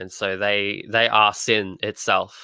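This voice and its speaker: Recorded very cleanly over a silent background, a man's fairly low voice has a bright, sharp tone. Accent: Australian. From Australia. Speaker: comic artist. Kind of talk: casual interview chat.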